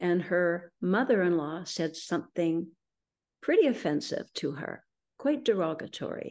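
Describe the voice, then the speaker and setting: Against a quiet background, a woman with a Canadian accent and an unremarkable speaking voice talks at fairly low pitch and a fairly slow pace with lively intonation. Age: 60s. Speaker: feng shui consultant. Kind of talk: interview testimony.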